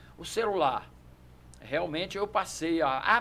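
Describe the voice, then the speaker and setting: Here a man talks at a fairly slow pace with a fairly high pitch. His pitch variation is ordinary. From Brazil, Brasília area (Sobradinho). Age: 60s. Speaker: judo master and champion. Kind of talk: podcast interview. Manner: hesitant, repeats words.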